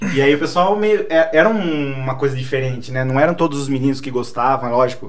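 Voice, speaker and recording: Audible room echo and noticeable background noise surround the recording. A man talks at a moderate pace and medium pitch with ordinary pitch variation. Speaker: English teacher and collector. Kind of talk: casual chat.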